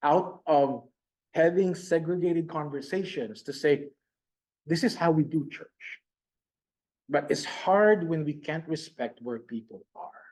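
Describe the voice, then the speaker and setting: Speaking at a fairly slow pace, a man with a Filipino accent has a fairly high pitch and ordinary pitch variation. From Philippines. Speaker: pastor. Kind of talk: conference presentation. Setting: conference room with online audience. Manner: animated.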